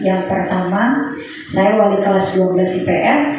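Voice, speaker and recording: A woman at a medium pitch with ordinary pitch variation and a moderate pace, plus noticeable background noise and audible room echo. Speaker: school teacher. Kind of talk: work reflection presentation.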